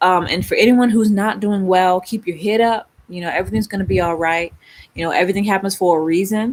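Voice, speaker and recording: With an Atlanta accent, a woman speaks at a medium pitch. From Baltimore, Maryland. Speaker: spiritual YouTuber. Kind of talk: casual livestream chat. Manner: animated.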